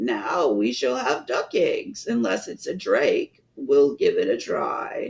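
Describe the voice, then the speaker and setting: In a put-on character voice, a man talks in a raspy tone at a fairly slow pace. He takes hardly any pauses. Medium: read story.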